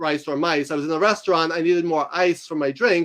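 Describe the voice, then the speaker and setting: With a New York accent, a man talks at a fairly quick pace. His voice is high-pitched. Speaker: author and university instructor. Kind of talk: interview. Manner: fast; articulate.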